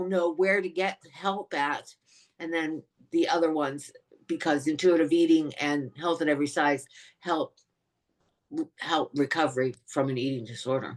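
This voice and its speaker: A woman with a very deep, low pitch talks at a moderate pace with ordinary pitch variation and long, frequent pauses. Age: 60s. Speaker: eating disorder awareness advocate. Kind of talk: podcast interview.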